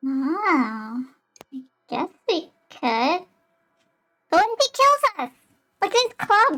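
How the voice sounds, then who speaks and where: A woman's squeaky, put-on character voice at an extremely high pitch, with very wide pitch swings, a very slow pace and long, frequent pauses. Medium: actual play. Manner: anxious, questioning.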